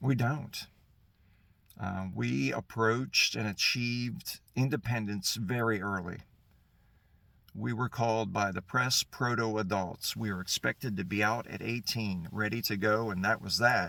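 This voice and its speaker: In an American accent, a man with a fairly low pitch and a bright, sharp tone speaks at a fairly slow pace with ordinary pitch variation. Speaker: political commentator. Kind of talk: political monologue.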